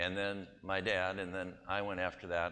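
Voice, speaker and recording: Here a man speaks with a Wisconsin accent at a very deep, low pitch. His tone is bright and sharp, with audible room echo around it. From US Midwest (Wisconsin, Milwaukee). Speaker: pastor and missionary. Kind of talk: church presentation. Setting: church. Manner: casual, anecdotal.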